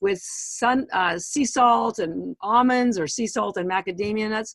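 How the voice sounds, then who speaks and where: A woman with a Canadian accent talks at a fairly slow pace in an animated tone with lively intonation. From Canada. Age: 60s. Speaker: supplement company founder. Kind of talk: podcast interview. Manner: animated, halting with many fillers.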